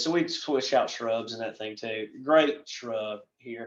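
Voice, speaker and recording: A man with a slight Southern US accent and ordinary pitch variation. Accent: Southern US, slight by his own account. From western North Carolina, US South. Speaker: landscape professional presenter. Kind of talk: presentation. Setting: recorded virtual presentation. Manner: casual, rambling.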